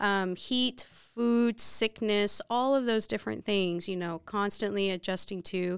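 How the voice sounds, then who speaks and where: A woman with an American accent speaks at a moderate pace and medium pitch with ordinary pitch variation, an ordinary speaking voice on a very clean recording with a silent background. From Texas, Dallas area. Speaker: missionary. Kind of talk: interview.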